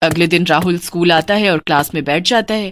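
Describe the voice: A woman speaks at a fairly quick pace, her pitch fairly low. Her tone is fairly bright, with ordinary pitch variation.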